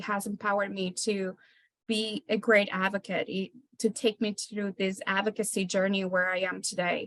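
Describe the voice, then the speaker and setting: A woman with a Spanish accent speaks at a medium pitch, and the sound is dry and close with no echo. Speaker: parent advisory committee co-chair. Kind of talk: meeting remarks. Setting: hybrid meeting room.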